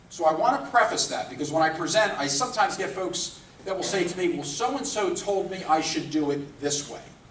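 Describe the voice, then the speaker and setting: A man speaks at a fairly quick pace with hardly any pauses, using a high pitch and lively intonation. Audible room echo and noticeable background noise surround him. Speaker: recruiter and career speaker. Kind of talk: presentation to a live audience. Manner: talkative, long-winded.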